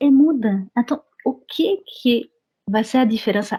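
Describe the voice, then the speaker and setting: A woman speaks in a French accent with lively intonation and a somewhat breathy voice. The sound is dry and close with no echo. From France. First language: French (speaking Portuguese). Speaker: French teacher and immigration paralegal. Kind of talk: interview.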